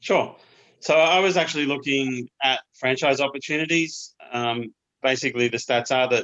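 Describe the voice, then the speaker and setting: A man's bright, sharp voice in an Australian accent, with a dry, close sound and no echo. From Australia, Queensland. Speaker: small business owner, cabinet maker. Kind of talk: interview.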